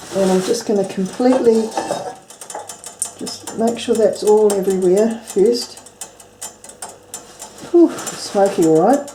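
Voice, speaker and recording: A woman with a New Zealand accent, fairly high pitch and ordinary pitch variation, at a fairly slow pace with long, frequent pauses, over noticeable background noise. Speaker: home cook. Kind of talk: cooking tutorial to camera. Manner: casual.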